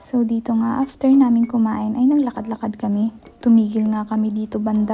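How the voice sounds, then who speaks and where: A woman whispers quietly at a fairly quick pace. Noticeable background noise runs underneath. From Philippines. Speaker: vlogger. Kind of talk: vlog voice-over narration. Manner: whispery, hushed.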